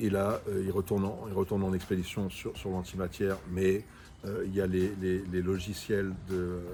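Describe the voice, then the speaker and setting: Very deep, low pitch from a man, dark and mellow in tone, monotone and flat, at a moderate pace. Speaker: book review video host. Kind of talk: casual chat reviewing books. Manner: loud.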